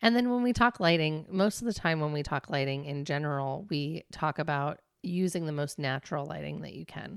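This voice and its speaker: In a very clean recording with a silent background, a woman with a very deep, low pitch talks at a fairly quick pace with lively intonation and hardly any pauses. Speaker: podcast co-host and business owner. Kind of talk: casual chat. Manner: fast.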